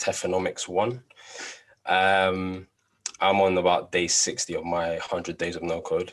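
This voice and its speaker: With a London accent, a man speaks at a fairly slow pace in a very deep, low pitch and a monotone, flat intonation. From London, England. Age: 20s. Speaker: no-code project presenter. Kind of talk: project demo presentation.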